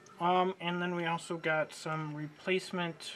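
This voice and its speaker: A man's voice amid noticeable background noise. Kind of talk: tutorial. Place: workshop.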